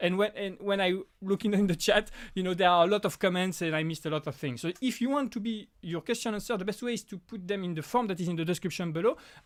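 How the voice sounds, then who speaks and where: Over a very clean recording with a silent background, a high-voiced man with a French accent talks at a very fast pace, his pitch varying in an ordinary way. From France. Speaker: prop maker and YouTuber. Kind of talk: live stream Q&A. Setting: home live stream. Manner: halting, many restarts.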